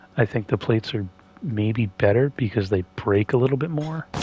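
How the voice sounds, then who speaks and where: Here a man speaks at a medium pitch with ordinary pitch variation. His voice is somewhat breathy. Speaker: gaming streamer. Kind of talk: gameplay commentary. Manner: rambling, hesitant with fillers. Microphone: voice quiet relative to game sound.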